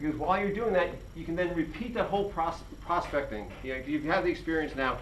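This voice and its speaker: Over audible room echo, a man talks at a fairly quick pace with lively intonation. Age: 60s. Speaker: independent pharmacy owner. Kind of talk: presentation to students. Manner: halting, many fillers and repetitions.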